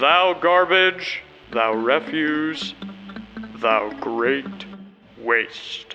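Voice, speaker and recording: Faint music plays in the background as a man performs a put-on character voice. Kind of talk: archaic, biblical.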